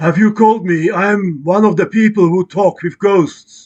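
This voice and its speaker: A put-on character voice moves along at a moderate pace. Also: man, high pitch for a man. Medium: game stream.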